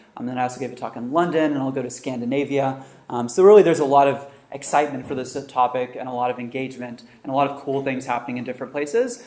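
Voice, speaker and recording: With audible room echo and noticeable background noise, a medium-pitched man talks at a very fast pace, his intonation fairly even but his loudness swinging widely. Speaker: researcher and author giving a talk. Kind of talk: lecture.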